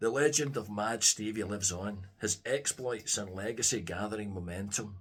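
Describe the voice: Pitch moves in an ordinary way. It is plain reading aloud.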